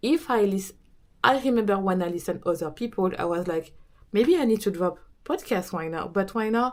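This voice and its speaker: A woman speaks with a French accent at a fairly quick pace. Her pitch is medium and her intonation lively. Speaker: business coach and podcaster. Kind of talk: casual talk to camera.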